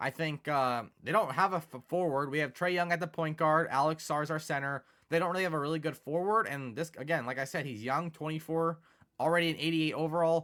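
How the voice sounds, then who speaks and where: Speaking at a fairly quick pace, a man uses a fairly high pitch and a bright, sharp tone with ordinary pitch variation. The recording is very clean with a silent background. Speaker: video game YouTuber. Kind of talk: gameplay commentary. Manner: fast; casual, filler-heavy.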